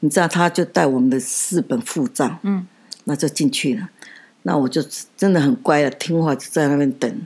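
At a moderate pace, a woman with a very deep, low voice speaks with very wide pitch swings. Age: 70s. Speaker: podcast host's grandmother. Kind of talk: casual interview, storytelling.

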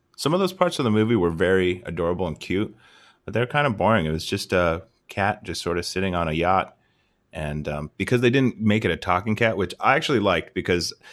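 On a very clean recording with a silent background, a man speaks fairly quickly at a very deep, low pitch with ordinary pitch variation. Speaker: podcast host, movie reviewer. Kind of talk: casual comedic movie review podcast.

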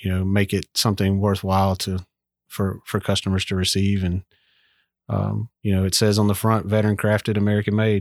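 With a Southern US accent, a man speaks at a fairly low pitch in a monotone, flat intonation. The recording is very clean, with a silent background. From southern Mississippi. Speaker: army veteran and business owner. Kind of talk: casual interview. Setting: workshop.

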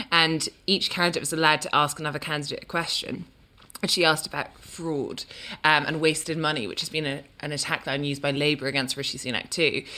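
Very deep and low in pitch, this woman's voice has a bright, sharp tone and moves at a very fast pace.

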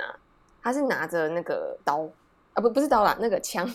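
The woman's voice sits at a fairly high pitch. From Taiwan. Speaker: working holiday traveler. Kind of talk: interview.

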